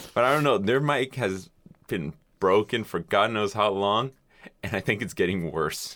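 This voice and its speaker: A man has an ordinary speaking voice with ordinary pitch variation at a moderate pace. The recording is very clean, with a silent background. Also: fairly low pitch for a man. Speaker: podcast guest and intern. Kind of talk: casual chat. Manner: profane, joking.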